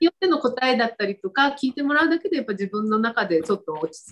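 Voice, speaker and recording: A woman's fairly high voice at a very fast pace, with very wide pitch swings. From Fukuoka, Japan. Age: 60s. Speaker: stylist. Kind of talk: casual interview.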